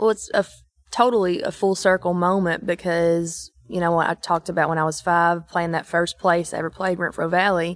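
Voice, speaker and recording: In an Eastern Kentucky accent, a woman speaks at a fairly low pitch, the sound dry and close with no echo on a very clean recording with a silent background. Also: fairly even intonation, moderate pace. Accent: Eastern Kentucky Appalachian. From East Kentucky. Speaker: country singer-songwriter. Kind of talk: casual interview chat.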